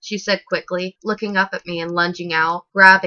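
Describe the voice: The background stays quiet. Intonation is fairly even in this plain reading aloud.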